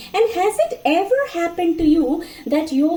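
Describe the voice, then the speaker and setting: Noticeable background noise sits under a woman speaking with a Bengali accent. She talks at a fairly slow pace, her pitch swinging very widely. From India, Mizoram (Bengali family). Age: 40s. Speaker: storyteller. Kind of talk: casual storytelling monologue. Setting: home kitchen, cooking. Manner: animated.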